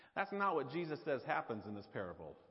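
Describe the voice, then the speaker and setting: A man with a Southern US accent, fairly high pitch and vocal fry. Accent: Southern drawl. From US South. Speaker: pastor. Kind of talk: sermon. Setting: church.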